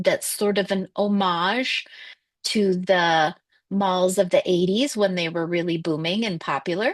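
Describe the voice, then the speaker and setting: With an American accent, a woman speaks at a fairly slow pace and ordinary pitch variation against a quiet background, the sound dry and close with no echo. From North Dakota. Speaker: horror author. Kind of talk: interview conversation.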